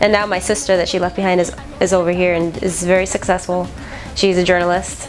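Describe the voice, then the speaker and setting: Over noticeable background noise, a woman with a medium pitch speaks very fast in a flat, monotone way. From Nicaragua, then Miami. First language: Spanish. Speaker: military veteran. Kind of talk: interview testimony.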